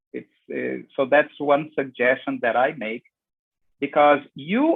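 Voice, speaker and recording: A man talks with a Portuguese accent at a fairly high pitch. His pace is fairly slow. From Brazil. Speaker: business consultant. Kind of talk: panel discussion comment. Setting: video conference.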